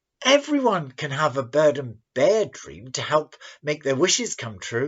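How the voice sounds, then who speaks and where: A woman speaks in a put-on character voice with a very deep, low pitch. She keeps a moderate pace. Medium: read story. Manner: eager, wide-eyed.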